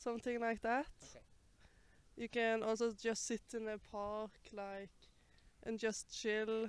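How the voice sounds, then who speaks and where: With a Norwegian accent, a woman speaks at a fairly high pitch and a fairly slow pace, in a monotone, flat intonation with big swings in loudness and long, frequent pauses. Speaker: palace guard. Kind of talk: street interview. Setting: outdoors. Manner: halting.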